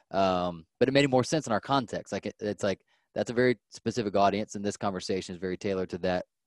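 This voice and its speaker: In a very clean recording with a silent background, a man talks at a very fast pace in a fairly low pitch with ordinary pitch variation. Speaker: podcast host and business coach. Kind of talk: casual interview.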